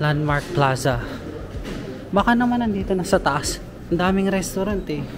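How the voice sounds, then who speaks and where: In a room with audible echo and noticeable background noise, a man with a high pitch talks at a moderate pace, using lively intonation and long, frequent pauses. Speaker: travel vlogger. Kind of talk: walking vlog narration. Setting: outdoors.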